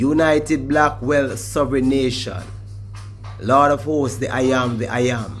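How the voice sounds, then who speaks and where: With a Jamaican accent, the speaker talks at a fairly slow pace over music in the background. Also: man. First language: Jamaican Patois. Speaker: Rastafarian reasoner. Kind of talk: formal document reading.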